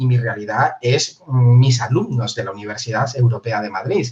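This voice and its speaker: Speaking with a somewhat breathy quality, a man keeps to a moderate pace. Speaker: university professor. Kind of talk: interview.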